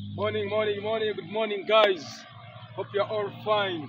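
The man's voice sounds dry with no echo, with light background noise behind it. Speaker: fitness trainer. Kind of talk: workout instruction. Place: street. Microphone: camera far.

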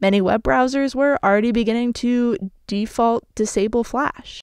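A woman speaks at a moderate pace, her pitch fairly high with ordinary variation. Her tone is clear, smooth and slightly mellow.

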